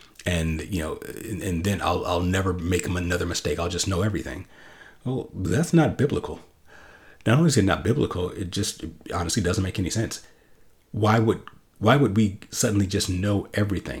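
A man talks at a fairly quick pace in a fairly low, somewhat breathy voice with ordinary pitch variation. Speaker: podcast host, Bible teacher. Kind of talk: solo teaching podcast.

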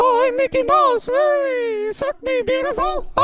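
A put-on character voice, squeaky and extremely high-pitched, moves at a fairly slow pace. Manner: cheeky, flirtatious.

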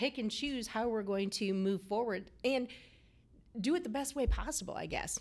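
This woman's voice sits fairly high. She speaks at a moderate pace. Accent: Midwestern American. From rural Iowa. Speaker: state director of a small business development center. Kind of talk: interview.

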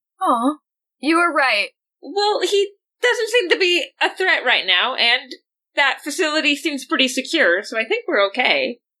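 A woman uses a raised, projected voice with a bright, sharp tone and high pitch, swinging very widely in pitch. Her loudness is very even, and the background is quiet. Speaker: player in a tabletop roleplaying game. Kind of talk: casual roleplaying game chat.

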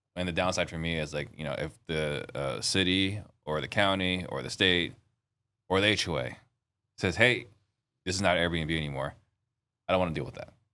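Over a silent background in a very clean recording, a man with a very deep, low pitch, vocal fry and a bright, sharp tone talks at a moderate pace with ordinary pitch variation and long, frequent pauses. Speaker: podcast host. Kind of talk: podcast interview.

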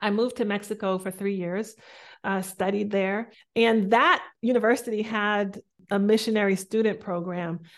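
In a plain, everyday voice, a woman with an American accent talks at a medium pitch with fairly even intonation against a quiet background. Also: moderate pace. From US Northeast, Boston. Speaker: spiritual coach and motivational speaker. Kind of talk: interview conversation.

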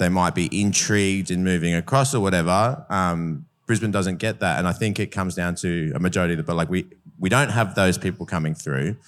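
A man with an Australian accent and a very deep, low pitch, at a fairly quick pace with ordinary pitch variation, on a very clean recording with a silent background. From Adelaide, South Australia. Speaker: bar owner. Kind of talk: panel discussion.

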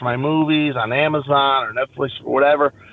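Pitched fairly high, a man uses an ordinary speaking voice and keeps to a moderate pace. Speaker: comedian. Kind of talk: casual chat. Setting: phone call.

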